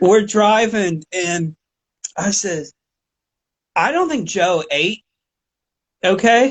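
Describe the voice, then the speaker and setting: With a Pittsburgh accent, a man with a high pitch speaks at a very slow pace, leaving long, frequent pauses, with ordinary pitch variation. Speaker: podcast host. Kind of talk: casual chat.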